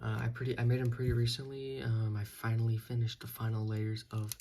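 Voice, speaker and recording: Quiet and somewhat breathy, a man speaks at a very fast pace in a medium pitch with a dark, mellow tone. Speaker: toy customizer reviewing own figures. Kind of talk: product review. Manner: halting, many fillers.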